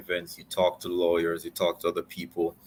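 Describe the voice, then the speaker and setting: A man with a Jamaican accent at a very fast pace. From Jamaica, Spanish Town. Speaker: lawyer. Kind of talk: interview. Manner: hesitant, many repetitions.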